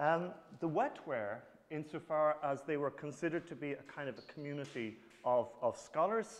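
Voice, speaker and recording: A man speaks with a strong Irish accent. His pitch is fairly high and his intonation lively. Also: moderate pace, big swings in loudness. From Ireland. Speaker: professor. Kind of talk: lecture. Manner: halting, many fillers.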